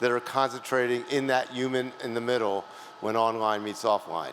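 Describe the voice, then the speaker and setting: A man talks at a fairly quick pace with ordinary pitch variation. Noticeable background noise can be heard. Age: 60s. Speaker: awards presenter. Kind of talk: award ceremony presentation.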